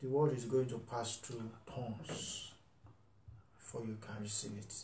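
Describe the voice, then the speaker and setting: Light background noise and audible room echo around a man speaking. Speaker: pastor. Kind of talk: sermon. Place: home room. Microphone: webcam.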